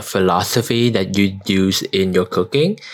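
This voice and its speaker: A man speaks with a Vietnamese accent. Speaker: podcast host. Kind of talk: casual interview chat. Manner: hesitant with many fillers.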